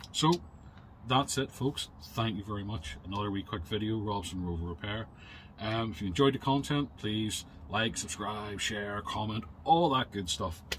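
Over light background noise, a man talks at a moderate pace in a fairly low, somewhat breathy voice with ordinary pitch variation. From UK. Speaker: car repair YouTuber; car repair channel host. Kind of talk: product review. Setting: in a shed. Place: garage. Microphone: phone near.

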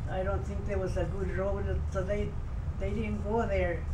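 A man's pitch moves in an ordinary way while noticeable background noise plays behind him. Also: moderate pace. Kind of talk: interview answer. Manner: very elderly, frail storytelling voice. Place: home room. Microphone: camera far.

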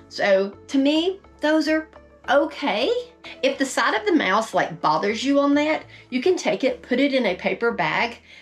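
Faint music plays in the background. A woman speaks at a moderate pace with a high pitch. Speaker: RV lifestyle vlogger. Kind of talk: tutorial. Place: home room.

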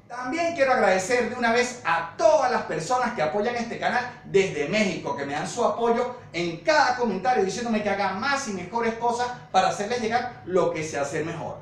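A man with an extremely high pitch speaks at a moderate pace with lively intonation and hardly any pauses. Audible room echo surrounds his voice. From Venezuela. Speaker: woodworking youtuber. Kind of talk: youtube outro. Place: home room.

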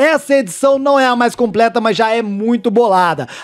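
A man speaks with an animated tone at a high pitch. His pace is moderate, and the background is quiet. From Brazil. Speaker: gaming youtuber. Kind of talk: sales pitch. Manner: animated, hyped-up salesman delivery. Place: home room.

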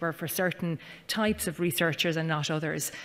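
Here a woman talks at a fairly quick pace with an Irish accent. Her fairly low-pitched voice has a bright, sharp tone and fairly even intonation. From Ireland. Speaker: panel chair, university research executive; panel chair. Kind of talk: panel moderation. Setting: conference stage with audience. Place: hall. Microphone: podium.

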